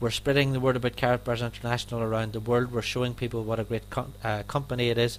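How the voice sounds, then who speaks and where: A man speaks very fast with an Irish accent. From Ireland. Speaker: network marketing affiliate and trainer. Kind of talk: sales presentation.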